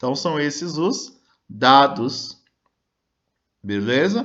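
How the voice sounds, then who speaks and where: A man's fairly high-pitched voice. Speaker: schoolteacher. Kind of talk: recorded online lesson.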